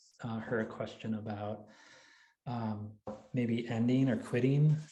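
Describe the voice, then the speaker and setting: In a room with audible echo, a man speaks at medium pitch with a dark, mellow tone and fairly even intonation. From Wisconsin, US Midwest. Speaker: writer and college English teacher. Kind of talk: Q&A after a craft talk. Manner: halting, many fillers and restarts.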